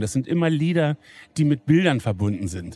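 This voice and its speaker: A man speaks at a moderate pace in a fairly high pitch, his tone dark and mellow, with a dry, close sound and no echo. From Lower Saxony, Wolfsburg. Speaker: pastor and football fan. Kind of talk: casual interview. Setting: empty football stadium.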